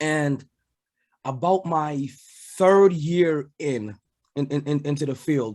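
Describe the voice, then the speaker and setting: A man with a fairly high pitch talks at a very slow pace, leaving long, frequent pauses. His pitch moves in an ordinary way. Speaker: ring announcer and sports podcast host, former military. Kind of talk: casual podcast interview answer.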